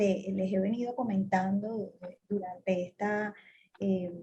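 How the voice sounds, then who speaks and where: A woman with a Colombian Caribbean accent speaks in a somewhat breathy voice with a dark, mellow tone. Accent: Colombian Caribbean coastal Spanish. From Colombian Caribbean coast, Cartagena. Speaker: telecom executive. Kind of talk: interview.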